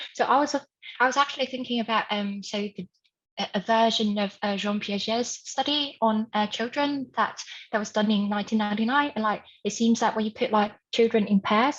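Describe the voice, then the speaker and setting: A woman with a fairly high pitch and a somewhat breathy voice talks at a fairly quick pace with fairly even intonation. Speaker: conference audience member asking a question. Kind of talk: academic Q&A. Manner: fast; filler-heavy, hesitant.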